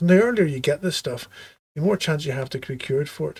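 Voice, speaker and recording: A man with a Belfast accent, fairly high pitch and somewhat breathy delivery at a very fast pace. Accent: Belfast Irish. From Northern Ireland, Belfast. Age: 50s. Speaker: surgeon. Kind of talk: interview.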